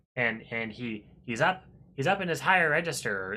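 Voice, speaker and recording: A man in a put-on character voice, talking at a moderate pace. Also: medium pitch for a man. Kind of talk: high.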